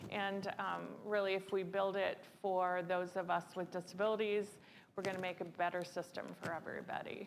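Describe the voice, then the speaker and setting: A woman at a moderate pace, medium-pitched, in a monotone, flat delivery. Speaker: panel moderator. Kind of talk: panel moderation. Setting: stage with audience. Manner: loud.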